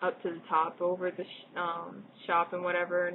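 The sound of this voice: Fairly low in pitch, a woman with an American accent speaks with a slightly husky edge.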